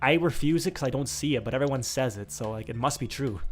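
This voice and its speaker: Vocal fry runs through this man's speech. He talks at a very fast pace with ordinary pitch variation. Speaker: gaming YouTuber. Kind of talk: casual chat while gaming. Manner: animated.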